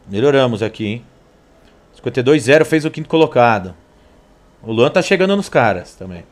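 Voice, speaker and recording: In an animated tone, a man speaks at a moderate pace with very wide pitch swings, big swings in loudness and long, frequent pauses. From Brazil. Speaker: sim racing streamer. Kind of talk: live gameplay commentary. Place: home room.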